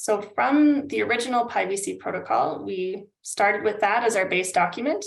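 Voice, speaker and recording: Here a woman with a Canadian accent talks at a moderate pace with hardly any pauses. Her medium-pitched voice has lively intonation and vocal fry. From Canada. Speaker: climate adaptation consultant. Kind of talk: webinar presentation.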